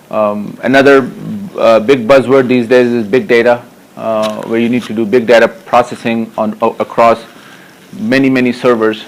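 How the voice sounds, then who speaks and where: Noticeable background noise runs under the recording. A man speaks with fairly even intonation. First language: not English. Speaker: technology evangelist giving a conference talk. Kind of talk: conference tech talk. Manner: hesitant, many fillers.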